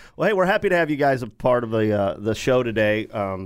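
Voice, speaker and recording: Speaking at a very fast pace with lively intonation, a man with a medium pitch comes through a very clean recording with a silent background. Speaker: podcast host. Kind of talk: casual sports chat.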